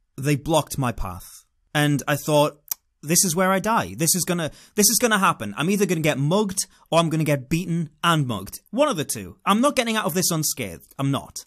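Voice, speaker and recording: A voice with a British accent speaks at a fairly quick pace in an animated tone with very wide pitch swings, in a very clean recording with a silent background. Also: man, fairly high pitch for a man. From England. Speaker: vlogger. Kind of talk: storytelling monologue.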